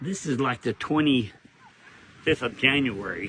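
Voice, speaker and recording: A man's medium-pitched voice with ordinary pitch variation, amid noticeable background noise. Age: 70s. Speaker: social media creator. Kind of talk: casual video commentary. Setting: outdoors on a beach. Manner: animated.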